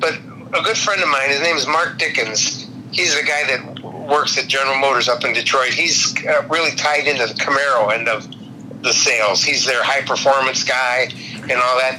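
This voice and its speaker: In a room with audible echo and noticeable background noise, a man with a fairly high pitch keeps a moderate pace, very even loudness and ordinary pitch variation. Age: 70s. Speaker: customer, car enthusiast. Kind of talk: casual chat.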